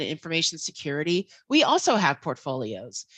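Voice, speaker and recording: A woman in a Philadelphia accent speaks at a moderate pace with a bright, sharp tone. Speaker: infosec professional, guest speaker. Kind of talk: online talk to students. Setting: video call. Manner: casual, many fillers.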